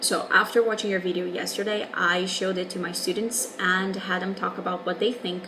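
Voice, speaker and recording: A woman with a Portuguese accent at a medium pitch, fairly quick and monotone in flat intonation, amid noticeable background noise and audible room echo. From Brazil. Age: 20s. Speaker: English teacher. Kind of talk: video response monologue.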